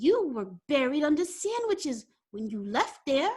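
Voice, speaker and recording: A woman uses a put-on character voice, high for a woman, with very wide pitch swings. She speaks at a moderate pace. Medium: read story.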